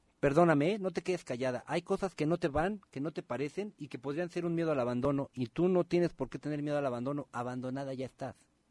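Against a quiet background, a man with a fairly high pitch talks very fast with ordinary pitch variation, the sound dry and close with no echo. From Guerrero, Mexico. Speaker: radio host. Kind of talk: live talk radio. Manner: animated.

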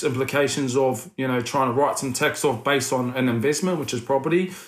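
This man talks at a moderate pace with a New Zealand accent and a medium pitch. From New Zealand, Wellington. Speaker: former rugby league player turned property investment businessman. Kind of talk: casual interview chat.

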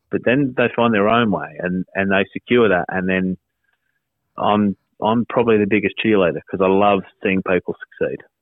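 A man talks at a moderate pace with an Australian accent. His pitch is fairly low and his intonation fairly even. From South Australia, Whyalla. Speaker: radio presenter and content director. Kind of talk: casual interview.

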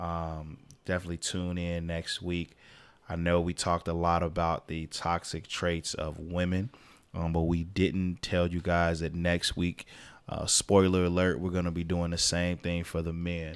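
A man speaks in a very deep, low voice. His intonation stays flat and monotone. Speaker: podcast host. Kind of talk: casual banter podcast. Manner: fast talker.

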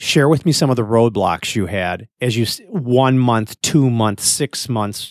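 In an unremarkable speaking voice, a man talks at a fairly slow pace. His pitch is medium, with ordinary variation. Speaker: podcast host. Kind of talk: casual conversational podcast. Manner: chatty, interrupts.

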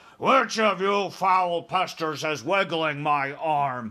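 Loud and bellowing, a man performs a put-on character voice at a high pitch. He speaks at a very slow pace. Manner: bellowing, loud.

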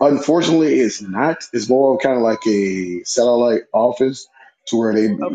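Using a plain, everyday voice, a man speaks at a medium pitch and moderate pace with ordinary pitch variation. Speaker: audience member. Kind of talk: casual chat.

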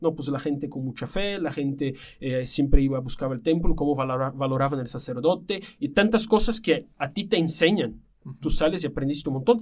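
A man talks at a fairly quick pace with a Portuguese accent. His intonation is lively. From Brazil. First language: Portuguese (speaking Spanish). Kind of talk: casual chat.

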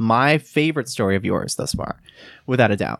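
Recorded very cleanly with a silent background and a dry, close sound free of echo, a man with an unremarkable speaking voice talks at a fairly quick pace, medium pitch and ordinary pitch variation. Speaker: podcast guest. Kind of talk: casual chat.

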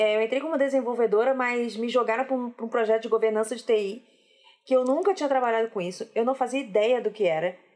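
A woman with a Rio de Janeiro accent, talking very fast in a fairly high pitch with ordinary pitch variation. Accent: carioca, noticeable. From Rio de Janeiro, Brazil. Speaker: software developer. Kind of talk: casual chat.

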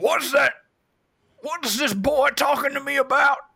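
A man puts on a character voice, raspy and raised and projected at an extremely high pitch, speaking at a moderate pace. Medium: actual play.

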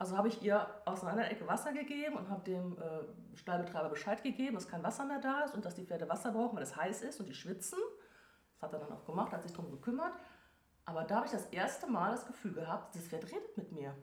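Delivered at a very fast pace, the speech has very wide pitch swings and audible room echo. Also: woman, medium pitch for a woman. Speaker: animal communicator. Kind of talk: interview.

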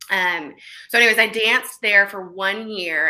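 A woman with an American accent and a bright, sharp tone at a moderate pace. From Oklahoma. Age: 30s. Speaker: fitness coach. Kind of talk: interview conversation.

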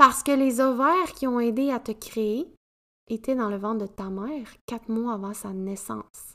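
With a Quebec accent, a woman speaks fairly slowly at a fairly high pitch, her bright, sharp tone showing big swings in loudness and ordinary pitch variation. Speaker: podcast host, women's coach. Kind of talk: solo podcast monologue.

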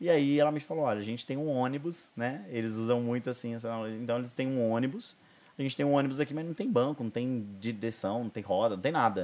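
A man talks at a fairly quick pace at medium pitch. His is an ordinary speaking voice with ordinary pitch variation. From Brazil, Ribeirão Preto (São Paulo state). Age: 30s. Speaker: pastor and therapist. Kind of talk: testimony. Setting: studio.

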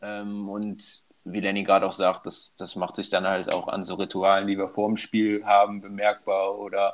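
Speaking fairly slowly, a man keeps a monotone, flat intonation. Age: 20s. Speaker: handball player and student. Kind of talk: casual interview. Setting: remote call.

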